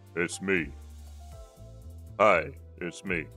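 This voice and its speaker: A man puts on a strained character voice with a very deep, low pitch. Music plays in the background. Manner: playful, joking.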